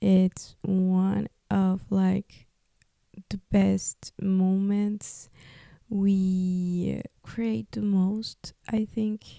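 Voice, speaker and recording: Her voice dark and mellow, a woman with a Spanish accent speaks at a medium pitch with fairly even intonation, the sound dry and close with no echo. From Peru. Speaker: podcast host, artist. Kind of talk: personal testimony podcast. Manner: halting; casual, many fillers.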